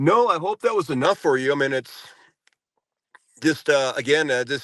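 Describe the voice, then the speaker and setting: With a plain, everyday voice, a man speaks at a moderate pace and a fairly high pitch, recorded dry and close with no echo over a quiet background. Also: lively intonation. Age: 60s. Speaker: former prisoner, January 6 defendant. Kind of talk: podcast interview.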